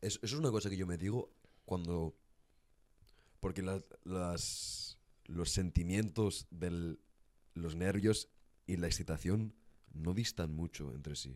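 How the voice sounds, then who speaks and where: With long, frequent pauses, a man speaks at a very slow pace in a very deep, low voice. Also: ordinary pitch variation. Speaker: podcast host. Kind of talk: casual chat. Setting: studio.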